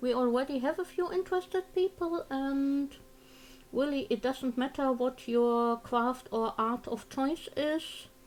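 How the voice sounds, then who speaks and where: Speaking at a fairly slow pace with a German accent, a woman uses a high pitch, ordinary pitch variation and very even loudness. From Germany. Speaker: crafting streamer. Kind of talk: casual livestream chat. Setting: live stream.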